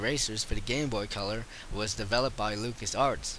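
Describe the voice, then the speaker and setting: With noticeable background noise behind him, this man speaks fairly quickly, his medium-pitched voice keeping fairly even intonation. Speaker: video game reviewer. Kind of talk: game review voice-over. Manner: casual.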